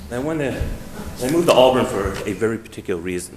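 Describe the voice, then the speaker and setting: A man is heard over noticeable background noise, with audible room echo. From New York. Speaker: resident speaking at public meeting. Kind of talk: public comment. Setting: town meeting hall.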